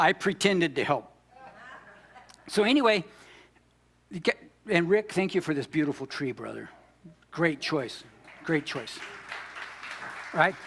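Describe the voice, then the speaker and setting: With a high pitch, a man speaks in an animated tone and lively intonation at a fairly slow pace. He leaves long, frequent pauses, and background noise is noticeable. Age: 60s. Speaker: pastor. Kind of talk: sermon.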